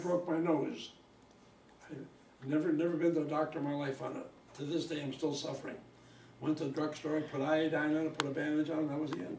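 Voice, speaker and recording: Very fast speech broken by long, frequent pauses, with audible room echo and light background noise. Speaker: elderly interviewee. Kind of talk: interview answer. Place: home room. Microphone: camera far.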